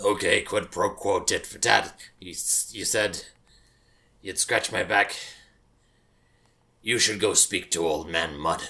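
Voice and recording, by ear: In a raspy put-on character voice, a man speaks at a fairly slow pace with long, frequent pauses and big swings in loudness, on a very clean recording with a silent background.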